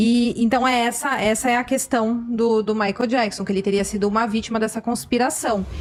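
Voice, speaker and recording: Over noticeable background noise, the speech runs at a fairly quick pace with hardly any pauses, very even loudness and fairly even intonation. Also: woman, fairly high pitch for a woman. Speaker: YouTuber, commentator on true crime cases. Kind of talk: podcast conversation. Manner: fast.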